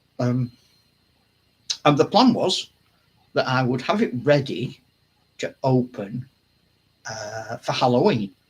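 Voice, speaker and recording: Speaking very slowly with long, frequent pauses, a man uses a medium pitch, lively intonation and a somewhat breathy voice. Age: 70s. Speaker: wargaming channel host. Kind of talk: casual chat. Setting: home hobby room, live stream. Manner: halting.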